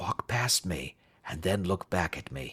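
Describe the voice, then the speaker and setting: A man whispers in a raspy, put-on character voice. The pace is moderate and the sound is dry and close with no echo. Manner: whispering.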